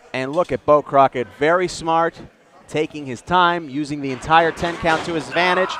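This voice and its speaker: Fairly high male voice with fairly even intonation, dry and close with no echo, over noticeable background noise. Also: moderate pace. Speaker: wrestling color commentator. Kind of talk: wrestling color commentary.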